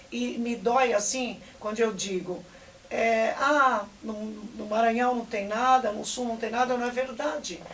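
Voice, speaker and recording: This woman speaks at a fairly slow pace with a fairly high pitch and fairly even intonation. Noticeable background noise and audible room echo are present. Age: 60s. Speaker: basketball coach. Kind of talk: interview.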